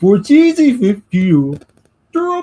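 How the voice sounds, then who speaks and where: In a put-on character voice with a Swedish accent, the speaker uses a fairly high pitch that swings very widely. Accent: exaggerated mock Swedish. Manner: garbled, comic, mocking.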